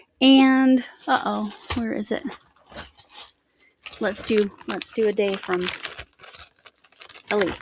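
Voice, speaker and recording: A woman's very slow speech with ordinary pitch variation and long, frequent pauses. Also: fairly high pitch for a woman. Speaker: crochet vlogger. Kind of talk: casual chat. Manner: animated.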